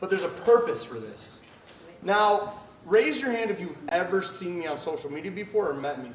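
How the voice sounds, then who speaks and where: A man with an American accent speaks loudly in an animated tone, high-pitched with lively intonation, at a moderate pace. Audible room echo and noticeable background noise are present. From Ohio, Cleveland. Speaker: magician. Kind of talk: stage performance. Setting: stage with audience. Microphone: no microphone.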